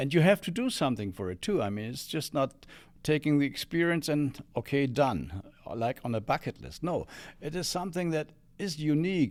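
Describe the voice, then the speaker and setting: On a very clean recording with a silent background, a man talks with lively intonation. His pitch is fairly high. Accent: German. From Germany, Bremen. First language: German. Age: 70s. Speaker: former exchange student. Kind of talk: interview. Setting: studio. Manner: halting.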